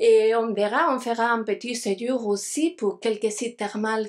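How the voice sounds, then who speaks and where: A woman at a very slow pace, fairly high-pitched with ordinary pitch variation, on a very clean recording with a silent background. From Spain (Galicia, Santiago de Compostela). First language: Spanish (speaking French). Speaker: archaeologist, lecturer. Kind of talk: lecture. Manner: halting, many hesitations.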